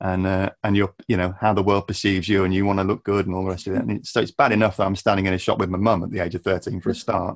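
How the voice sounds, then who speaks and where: A man with a very deep, low voice talks at a very fast pace, hardly pausing at all. His intonation is monotone and flat, and the sound is dry and close with no echo. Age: 50s. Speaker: YouTube climate educator. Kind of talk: interview. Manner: halting.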